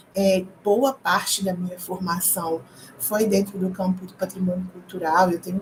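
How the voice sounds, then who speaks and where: A woman talks at a moderate pace while noticeable background noise continues. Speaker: history PhD student and teacher giving a short course. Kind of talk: lecture.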